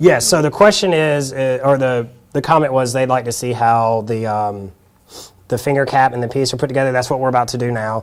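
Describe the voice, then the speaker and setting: At a fairly quick pace, a man talks with a Southern US accent. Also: medium pitch for a man, ordinary pitch variation. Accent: Southern US (Georgia). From South Georgia, US South. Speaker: hand therapist. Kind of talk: workshop demonstration. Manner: casual, hesitant with fillers.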